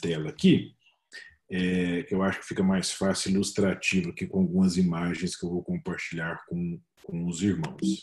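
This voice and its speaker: Very deep and low in pitch, a man has a dark, mellow tone. He speaks at a moderate pace with ordinary pitch variation. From Minas Gerais, Brazil. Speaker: freemason official, speaker. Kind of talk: webinar presentation. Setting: video call webinar.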